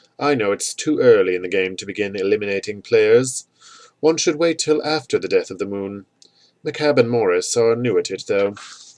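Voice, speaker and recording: Putting on a hissing character voice, a man speaks at a fairly quick pace and a medium pitch. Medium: read story. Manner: teasing, riddling.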